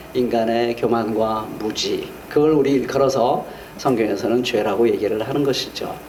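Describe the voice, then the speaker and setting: This man's fairly slow speech comes with audible room echo and noticeable noise in the background. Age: 60s. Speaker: pastor. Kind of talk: sermon.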